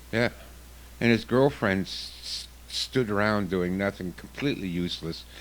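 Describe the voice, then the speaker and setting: With lively intonation, a man speaks in an unremarkable speaking voice at a fairly low pitch and a moderate pace. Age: 60s. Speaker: self-defense instructor. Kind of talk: radio interview.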